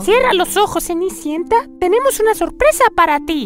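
An extremely high-pitched, put-on character voice moves at a moderate pace. Clear music plays in the background.

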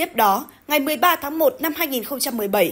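A woman is speaking. Her pitch is high. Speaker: news presenter. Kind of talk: news reading. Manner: formal.

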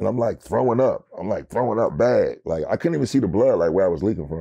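Fairly quick pace from a man, quiet background behind. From North Philadelphia; Philadelphia. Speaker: rapper; interview guest. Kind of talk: interview. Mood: calm, reflective about hard past. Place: studio.

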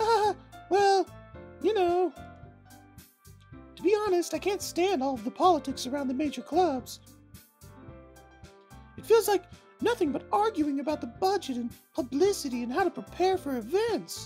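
A man does a put-on character voice at an extremely high pitch, moving at a moderate pace with long, frequent pauses as faint music plays in the background. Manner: sweet, confident.

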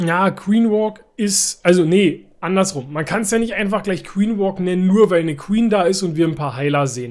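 This man's voice sits high in pitch and sounds animated. The background is quiet. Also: ordinary pitch variation, moderate pace, hardly any pauses. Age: 30s. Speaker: gaming YouTuber. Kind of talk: gameplay commentary. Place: home room.

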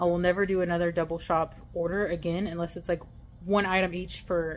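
A woman talks at a very fast pace in a fairly low pitch. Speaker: delivery driver vlogger. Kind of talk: casual vlog chat. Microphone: phone near.

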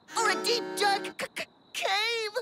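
A cartoonish character voice with a bright, sharp tone talks at a fairly slow pace. The intonation stays fairly even, with faint music in the background.

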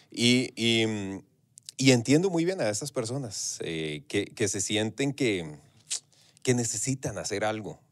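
A man with a Costa Rican accent speaks very slowly at a medium pitch. His intonation is lively. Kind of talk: casual interview chat. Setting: radio studio. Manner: relaxed, talkative, hesitant with fillers.

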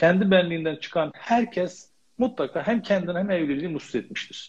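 A man's high-pitched voice with lively intonation against a quiet background. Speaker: family and marriage counselor; guest. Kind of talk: interview. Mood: calm, advisory. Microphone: connection dropped, video froze; video call.

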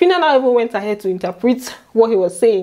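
A woman with a Nigerian accent, animated in tone and very fast in pace. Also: quiet background. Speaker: YouTuber recapping reality TV. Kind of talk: chatty gossip recap vlog. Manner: animated, laughs often. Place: home room. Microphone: lapel.

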